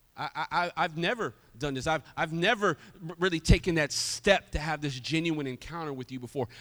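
A man talks at a moderate pace in an animated tone, fairly high in pitch with ordinary variation, in a dry, close sound with no echo on a very clean recording with a silent background. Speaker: pastor. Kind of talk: sermon. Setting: church.

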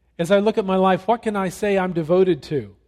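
A man's high-pitched voice at a moderate pace. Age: 60s. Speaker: pastor. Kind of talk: sermon. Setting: church.

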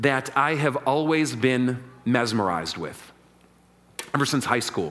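With lively intonation, a man is talking. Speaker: pastor. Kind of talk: sermon. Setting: church.

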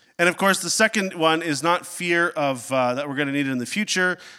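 A man speaks at a fairly quick pace, fairly high in pitch with ordinary variation. His tone is clear and smooth, yet bright and sharp.

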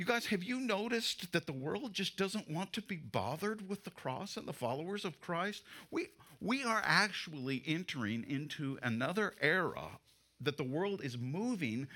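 A man talks at a moderate pace in a fairly high pitch, with a bright, sharp tone, vocal fry and very wide pitch swings, on a very clean recording with a silent background. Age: 60s. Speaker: pastor. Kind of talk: sermon. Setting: church.

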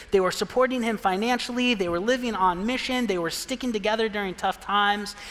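Noticeable background noise accompanies a man with an American accent who talks at a fairly quick pace, with high pitch and ordinary pitch variation. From Pine, Arizona, US. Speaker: pastor. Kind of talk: sermon. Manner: casual, conversational.

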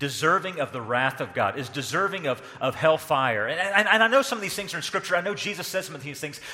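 A man with lively intonation talks fairly quickly through noticeable background noise. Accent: Southern US. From US South. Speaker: pastor. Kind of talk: sermon. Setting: church.

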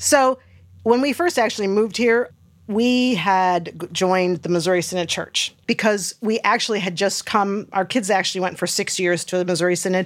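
With a normal speaking voice at medium pitch, a woman moves at a moderate pace, her pitch varying in an ordinary way. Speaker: church member and former nurse. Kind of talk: casual interview chat.

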